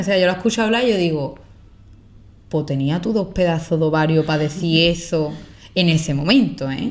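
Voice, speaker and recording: A woman at a moderate pace with an Andalusian accent. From Andalusia, Spain. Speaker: content creator. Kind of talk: podcast interview answer. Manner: casual, conversational.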